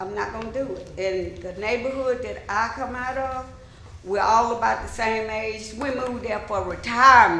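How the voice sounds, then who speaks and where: A woman with an Alabama accent speaks at a moderate pace and fairly high pitch, her intonation fairly even. Her loudness swings widely, and room echo is audible. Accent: Southern US (Alabama). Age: 70s. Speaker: resident speaking at public hearing. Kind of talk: public comment. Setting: city council meeting.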